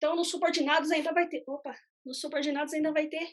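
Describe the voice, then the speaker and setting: This is a woman speaking. Her voice sits high. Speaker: economist presenting investment fund analysis. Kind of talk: live webinar explanation. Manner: halting, with many fillers.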